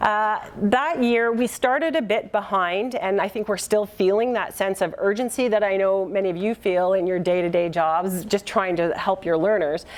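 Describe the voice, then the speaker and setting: A woman with a Canadian accent talks at a moderate pace and medium pitch, with ordinary pitch variation and hardly any pauses. Her loudness stays very even against noticeable background noise. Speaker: keynote speaker, workforce research centre representative. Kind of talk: conference presentation.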